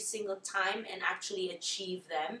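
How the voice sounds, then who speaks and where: A woman talks at a moderate speed, and the room around her has an audible echo. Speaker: interviewee. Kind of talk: interview answer. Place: home room.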